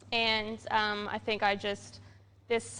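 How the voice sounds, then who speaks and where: Her voice bright and sharp, a woman speaks at a medium pitch with monotone, flat intonation. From Canada. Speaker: brewery staff, show host. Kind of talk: casual chat. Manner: hesitant, many fillers.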